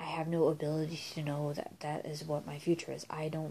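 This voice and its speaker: A woman's very deep, low voice, dark and mellow in tone, somewhat breathy, monotone and flat, at a moderate pace. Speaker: vlogger. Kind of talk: casual monologue vlog. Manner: rambling, halting.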